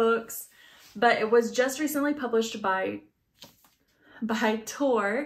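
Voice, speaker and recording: Pitched fairly high, a woman talks with ordinary pitch variation. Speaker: book reviewer. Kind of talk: book review monologue. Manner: fast; animated.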